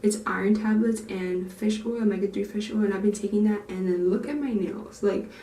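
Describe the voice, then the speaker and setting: Amid noticeable background noise and audible room echo, a woman talks at a medium pitch and fairly quick pace with monotone, flat intonation and hardly any pauses. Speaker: natural hair YouTuber. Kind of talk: vlog tutorial. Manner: fast; casual, chatty.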